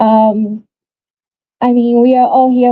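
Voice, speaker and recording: A somewhat breathy voice with monotone, flat intonation. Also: woman. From Brazil. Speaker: nonprofit board president. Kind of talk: speech at a vigil.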